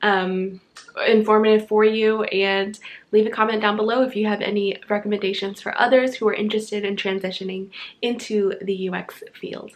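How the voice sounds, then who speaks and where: A woman speaks at a moderate pace in a fairly high pitch. Her intonation is flat and monotone. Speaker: tech YouTuber, UX designer. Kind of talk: casual vlog tutorial.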